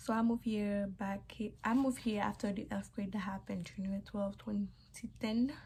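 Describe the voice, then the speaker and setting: A woman speaks at a fairly quick pace with a dark, mellow tone. Her intonation stays fairly even, and her voice is somewhat breathy. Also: medium pitch for a woman. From Haiti. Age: 20s. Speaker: YouTuber. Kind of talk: vlog storytime. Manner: casual, chatty.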